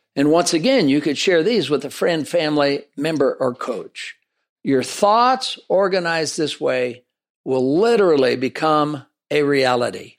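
A man's normal speaking voice, fairly high in pitch, with lively intonation on a very clean recording against a silent background. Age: 60s. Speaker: podcast host. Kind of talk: solo podcast monologue on leadership.

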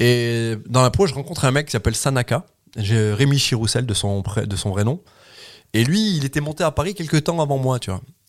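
In a very clean recording with a silent background, a man with an ordinary speaking voice talks at moderate pace and medium pitch with lively intonation. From France, Loire. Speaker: comedian. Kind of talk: casual chat.

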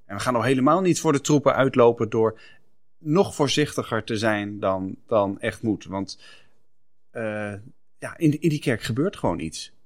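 A man's ordinary speaking voice at medium pitch, fairly slow, with lively intonation, in a very clean recording over a silent background. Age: 40s. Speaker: podcast co-host. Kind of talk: casual chat.

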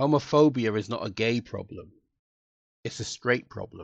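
A man speaks with a London accent. The sound is dry and close, with no echo. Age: 60s. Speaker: former police officer and diversity trainer. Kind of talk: interview conversation.

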